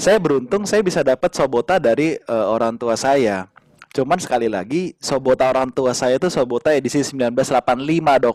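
Here a man talks in a normal speaking voice, fairly high in pitch, with lively intonation at a fairly quick pace. The sound is dry and close, with no echo. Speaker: doctor and podcast host. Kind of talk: casual interview.

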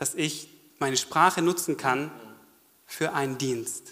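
A man's animated tone with ordinary pitch variation. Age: 30s. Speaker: church member giving testimony. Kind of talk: testimony. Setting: stage with audience.

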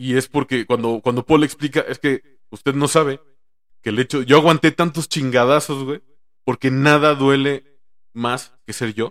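In a very clean recording with a silent background and a dry, close sound with no echo, a man with a Mexican accent speaks at a fairly high pitch with fairly even intonation. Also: moderate pace. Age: 30s. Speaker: stand-up comedian. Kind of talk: casual chat.

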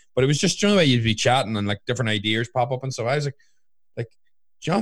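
In a very clean recording with a silent background, a man speaks with a Northern Irish accent and ordinary pitch variation. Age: 20s. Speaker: fitness coach and podcast co-host. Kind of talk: casual chat.

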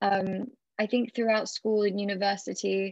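A woman with a British accent. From Britain. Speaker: startup founder. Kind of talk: interview.

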